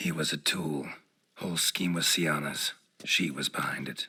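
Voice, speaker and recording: At a moderate pace, a put-on character voice delivers its lines in a deadpan tone. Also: man, very deep, low pitch for a man. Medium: video game. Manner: terse, deadpan.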